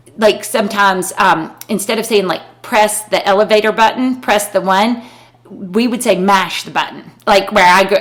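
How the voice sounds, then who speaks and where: A woman with an American accent at a medium pitch, fairly even intonation and a moderate pace, against noticeable background noise. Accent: Southern US, thick growing up, noticed still. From US South, rural North Carolina. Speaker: podcast co-host, lawyer. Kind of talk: casual chat. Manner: halting.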